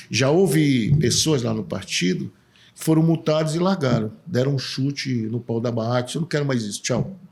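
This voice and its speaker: This man has a medium pitch and a somewhat breathy voice. He speaks at a moderate pace with lively intonation. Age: 60s. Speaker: political candidate, civil engineer. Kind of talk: casual interview.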